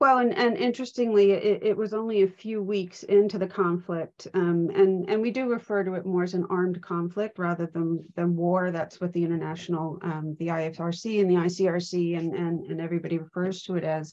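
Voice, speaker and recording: With an American accent, a woman at a medium pitch talks at a fairly quick pace, keeping her intonation fairly even and hardly pausing. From US, Pennsylvania. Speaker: trauma and safeguarding trainer. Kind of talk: live online event interview.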